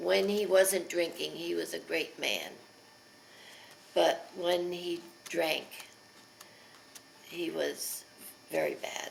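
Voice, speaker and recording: With an American accent, the speaker goes at a very slow pace with long, frequent pauses, amid noticeable background noise and audible room echo. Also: woman. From Pennsylvania. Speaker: elderly mother telling her life story. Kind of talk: oral history interview. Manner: hesitant, with many fillers.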